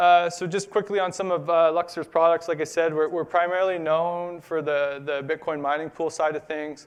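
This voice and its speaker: A man talks with hardly any pauses in a high pitch. His intonation stays monotone and flat. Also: moderate pace, quiet background. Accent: Canadian. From Canada. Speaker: conference speaker, business development at bitcoin mining company. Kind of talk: conference talk. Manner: halting, many fillers.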